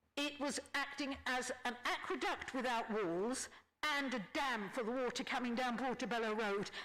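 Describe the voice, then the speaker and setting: Noticeable background noise sits behind a woman's high-pitched voice at a moderate pace. Her loudness stays very even, with ordinary pitch variation. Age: 70s. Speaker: resident affected by flooding. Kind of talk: public meeting testimony. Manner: halting, with repeated false starts.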